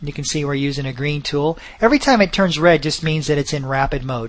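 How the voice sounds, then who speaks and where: This man talks at a fairly quick pace with ordinary pitch variation. His pitch sits fairly high. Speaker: software tutorial presenter. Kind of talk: tutorial. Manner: fast.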